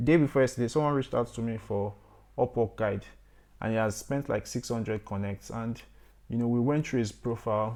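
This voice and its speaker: A man at a medium pitch with a dark, mellow tone, a fairly quick pace and fairly even intonation, on a very clean recording with a silent background. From Nigeria. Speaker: software developer and freelancer. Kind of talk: tutorial. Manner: casual, conversational.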